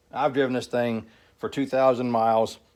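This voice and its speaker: Fairly even intonation marks this man's medium-pitched voice. He speaks at a fairly quick pace on a very clean recording with a silent background. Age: 60s. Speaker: mechanic. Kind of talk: tutorial. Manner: casual, halting with fillers.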